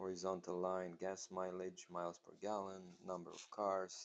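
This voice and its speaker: A man speaks in a very deep, low voice at a fairly slow pace. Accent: non-native. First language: not English. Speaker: math teacher. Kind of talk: tutorial. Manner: halting, many fillers.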